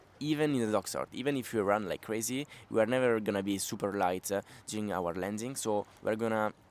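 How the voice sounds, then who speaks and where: The man speaks at a fairly quick pace. His pitch is fairly low, with ordinary variation. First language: not English. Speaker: pump foiling coach. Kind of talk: tutorial. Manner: halting, frequent fillers.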